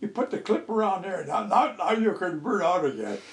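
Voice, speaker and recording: A man talks at a high pitch and a fairly quick pace. Noticeable background noise is present. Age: 90s. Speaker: elderly pilot interviewee. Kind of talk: oral history interview. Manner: halting.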